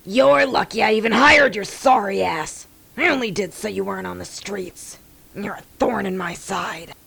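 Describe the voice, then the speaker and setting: A put-on character voice shouts in a raspy, middle-pitched tone at a moderate pace. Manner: angry, yelling.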